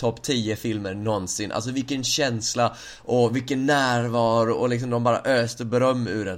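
A man speaks in an ordinary speaking voice at medium pitch. His intonation stays fairly even. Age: 20s. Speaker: podcast host. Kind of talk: casual chat.

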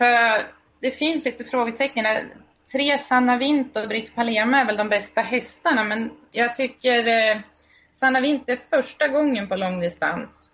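A woman speaks at a fairly slow pace. Her pitch is high, with ordinary pitch variation. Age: 20s. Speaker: harness racing blogger. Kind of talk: casual chat.

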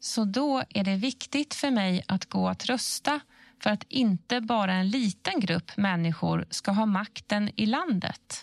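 Fairly slow and somewhat breathy, a woman speaks at a medium pitch with lively intonation and very even loudness, the recording very clean with a silent background and a dry, close sound with no echo. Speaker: questioner in information series. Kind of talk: scripted explainer dialogue.

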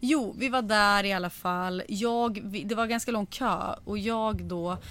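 A woman talks at a medium pitch. The recording is very clean, and the background is silent. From Sweden, Sundsvall area (Medelpad). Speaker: podcast host. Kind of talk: casual chat. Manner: animated.

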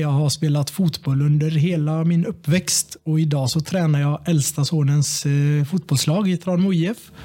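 Music plays in the background as a man with a fairly high pitch talks in fairly even intonation. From Sweden, Tranemo (Västergötland). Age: 30s. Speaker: local politician. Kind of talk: casual chat. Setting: office rigged as studio.

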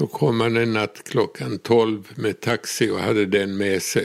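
Very slow pace from a man at medium pitch, with ordinary pitch variation. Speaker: relative of the subject. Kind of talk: interview.

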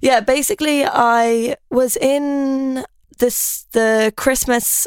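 An Irish accent in a dry, close sound with no echo, on a very clean recording with a silent background. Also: woman. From Ireland. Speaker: fashion influencer and former law student. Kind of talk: casual chat. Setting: studio.

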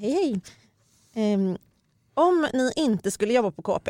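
A woman's fairly high voice moves through very wide pitch swings, captured dry and close with no echo. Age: 30s. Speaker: podcast host, magazine journalist. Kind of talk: casual chat.

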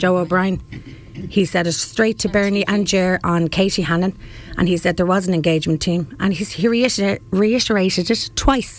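Over noticeable background noise, a woman with an Irish accent talks at a moderate pace, her loudness very even and her pitch variation ordinary. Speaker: local protester and parent. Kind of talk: radio interview. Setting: studio. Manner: animated.

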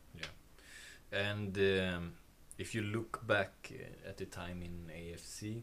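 A man with a Swedish accent speaks very slowly at a fairly low pitch, his intonation fairly even but his loudness swinging widely. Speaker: podcast host. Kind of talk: interview. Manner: halting.

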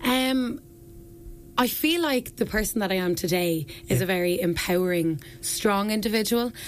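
The speaker has a southeastern Irish accent and lively intonation. The pace is moderate and the loudness very even. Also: woman, medium pitch for a woman. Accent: southeast Irish. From Ireland, County Wexford (Ferns). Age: 20s. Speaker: beauty pageant contestant and personal trainer. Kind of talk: radio interview. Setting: radio studio.

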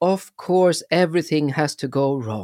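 In a Swedish accent, a man with a fairly high pitch speaks at a fairly slow pace with ordinary pitch variation, the sound dry and close with no echo on a very clean recording with a silent background. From Sweden. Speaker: performance storyteller, podcast host. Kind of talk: podcast introduction.

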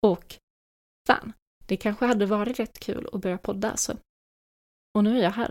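A woman speaks at a moderate pace with a fairly high pitch. Her intonation stays fairly even, and her long pauses come often. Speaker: podcast host. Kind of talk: solo monologue.

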